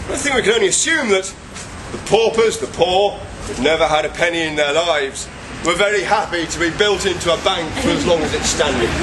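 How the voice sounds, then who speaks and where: Noticeable background noise behind a high-pitched male voice, fairly quick in pace and ordinary in pitch variation. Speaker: ghost walk tour guide. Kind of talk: live guided tour storytelling. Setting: outdoors. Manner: wry, humorous.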